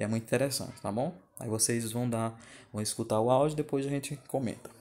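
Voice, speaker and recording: Fairly even intonation in the dark, mellow tone of a man's voice. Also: medium pitch for a man, fairly quick pace. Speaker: geography teacher. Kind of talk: recorded video lesson over slides. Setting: screen recording at home.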